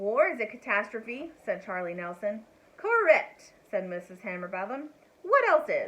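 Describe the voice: Text read aloud, plain and simple.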